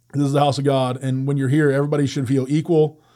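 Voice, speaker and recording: A man at a fairly quick pace, fairly high in pitch, with a dark, mellow tone. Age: 40s. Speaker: ministry director. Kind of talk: interview. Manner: halting.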